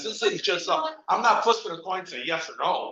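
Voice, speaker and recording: A man talks in an animated tone with an American accent. Audible room echo can be heard around him. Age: 70s. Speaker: council member. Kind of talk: heated debate. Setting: council meeting.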